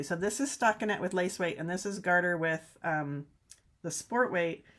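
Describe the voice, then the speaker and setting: Over a silent background in a very clean recording, a woman with a normal speaking voice talks at a fairly quick pace, medium in pitch with ordinary pitch variation. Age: 60s. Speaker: knitting teacher and video host. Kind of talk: live-streamed casual knitting show. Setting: home knitting studio, live stream. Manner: chatty and rambling, self-correcting.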